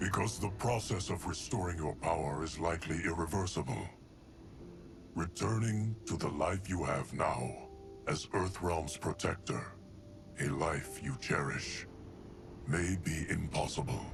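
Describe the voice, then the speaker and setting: A man's put-on character voice, very deep and low, with a solemn tone, very even loudness, a moderate pace and long, frequent pauses, over clear background noise. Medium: video game. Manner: measured, solemn.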